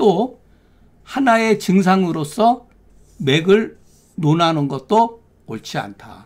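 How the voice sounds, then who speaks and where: A man speaks in a high voice with lively, varied intonation. His pace is very slow, broken by long and frequent pauses. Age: 60s. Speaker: Korean medicine doctor and lecturer. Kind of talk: lecture. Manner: conversational.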